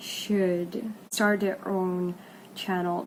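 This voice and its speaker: A woman with a non-native accent and medium pitch, speaking very slowly amid noticeable background noise. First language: not English. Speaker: vlogger. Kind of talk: casual vlog talk.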